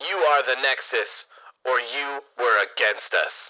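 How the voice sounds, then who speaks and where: Using a put-on character voice, a man speaks at a fairly slow pace in a fairly high pitch. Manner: dramatic, put-on.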